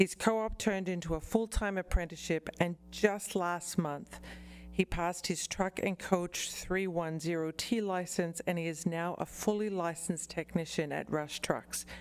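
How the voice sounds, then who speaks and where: Music plays behind a woman speaking at a moderate pace. Her fairly low voice keeps a fairly even intonation. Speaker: college representative. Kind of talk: formal presentation.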